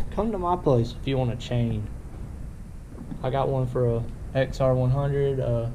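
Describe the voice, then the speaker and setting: A man talks at a moderate pace with light noise behind him. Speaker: vlogger. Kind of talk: casual vlog chat. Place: garage. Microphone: phone near.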